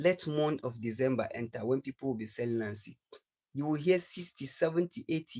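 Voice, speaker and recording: Moving at a fairly quick pace, a man speaks at medium pitch with ordinary pitch variation and a dark, mellow tone in a dry, close sound with no echo. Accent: Nigerian. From Nigeria. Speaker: livestreamer. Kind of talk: casual live stream chat. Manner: repetitive.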